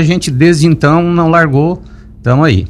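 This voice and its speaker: A man at a moderate pace. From Lauro Müller, Santa Catarina, southern Brazil. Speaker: businessman and local party president. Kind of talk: radio interview. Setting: radio studio. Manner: hesitant, many fillers and repetitions.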